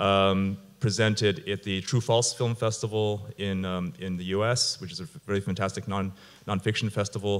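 Here a man with an unremarkable speaking voice and fairly low pitch speaks at a moderate pace with fairly even intonation. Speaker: guest. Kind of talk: panel discussion answer. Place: stage. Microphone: handheld.

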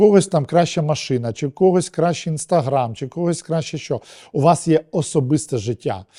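Recorded dry and close with no echo, a man with a dark, mellow tone and fairly high pitch talks with lively intonation and big swings in loudness. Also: moderate pace. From Ukraine, Kharkiv. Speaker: TV and film producer. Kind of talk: interview.

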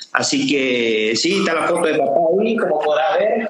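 Light background noise and audible room echo accompany a man. He speaks at a moderate pace with ordinary pitch variation. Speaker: interviewee. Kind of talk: interview answer. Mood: emotional, proud remembrance. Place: office. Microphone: video call.

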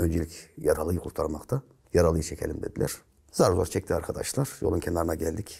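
A man talks at a fairly quick pace. The background stays quiet. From Central Anatolia, Turkey (Nevşehir); Central Anatolia, Turkey. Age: 50s. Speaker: retired gendarmerie officer; guest. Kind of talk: interview storytelling. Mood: earnest, emotional storytelling. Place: studio. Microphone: lapel.

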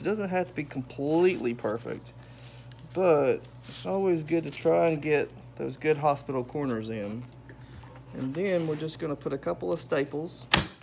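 Music plays in the background behind a man talking with lively intonation. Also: moderate pace. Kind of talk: tutorial. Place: workshop. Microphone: phone near.

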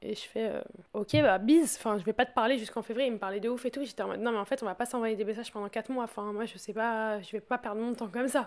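On a very clean recording with a silent background, a woman speaks at a very fast pace. Her pitch is fairly high and her intonation fairly even. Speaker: podcast host. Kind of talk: casual chat.

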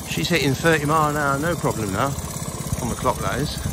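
Dry sound with no echo, plus noticeable background noise. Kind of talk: casual vlog chat. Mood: pleased, relaxed. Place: open country. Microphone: phone near.

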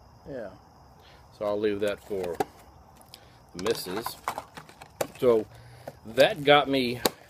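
Over noticeable background noise, the pitch moves with ordinary variation. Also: man, dry sound with no echo. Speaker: unboxing vlogger. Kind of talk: casual vlog chat. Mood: excited, chatty. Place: garden. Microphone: phone near.

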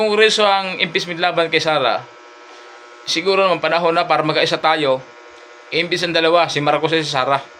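Amid noticeable background noise, a high-pitched man talks at a fairly quick pace in an animated tone, with very even loudness and ordinary pitch variation. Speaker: vlogger. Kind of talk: angry rant. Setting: live stream. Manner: heated.

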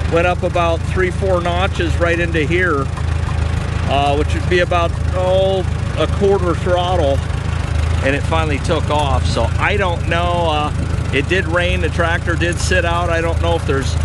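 Over loud background noise, a man talks at a moderate pace, and the sound is dry with no echo. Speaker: antique tractor hobbyist. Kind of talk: casual vlog chat. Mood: relaxed, folksy. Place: farm machine. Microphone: phone near.

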